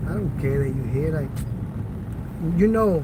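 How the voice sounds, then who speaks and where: Audible room echo and noticeable background noise fill the recording. A man's voice sits within them. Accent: American. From New York City, the Bronx. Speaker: live streamer. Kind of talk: live stream walking tour. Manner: casual, slangy.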